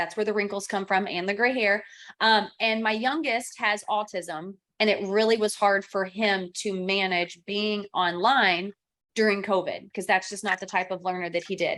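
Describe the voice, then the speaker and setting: A woman's bright, sharp voice at a medium pitch, in a slight Kentucky accent. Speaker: real estate trainer and coach. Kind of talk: online training class. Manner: animated.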